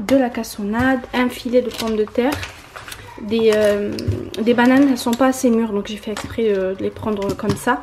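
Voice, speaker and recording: A woman speaks in a fairly high, monotone voice with flat intonation. Noticeable background noise runs under her. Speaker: vlogger. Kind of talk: casual vlog narration.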